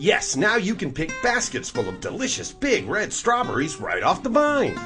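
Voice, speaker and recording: Over music in the background, a man talks at a moderate pace in an upbeat tone. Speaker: commercial voice-over announcer. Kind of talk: TV commercial read. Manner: upbeat, salesy.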